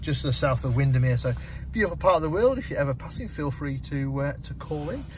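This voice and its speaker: A man speaks in a dry sound with no echo, with faint music in the background. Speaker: car dealership salesperson. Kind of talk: product walkthrough tutorial. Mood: relaxed, friendly. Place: car. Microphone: phone near.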